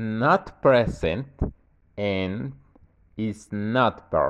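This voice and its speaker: A man with a Mexican accent talks at a medium pitch. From Mexico. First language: Spanish. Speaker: university student. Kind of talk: tutorial. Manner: casual.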